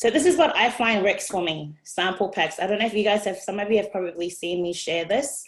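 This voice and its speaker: With an Australian accent, a woman talks at a fairly quick pace with hardly any pauses, keeping a medium pitch and ordinary pitch variation. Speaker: direct sales team member. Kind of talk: online presentation. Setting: video call.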